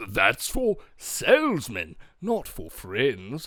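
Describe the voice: A man puts on a character voice at a medium pitch, with a fairly bright tone. He talks at a very slow pace, and his pitch swings very widely.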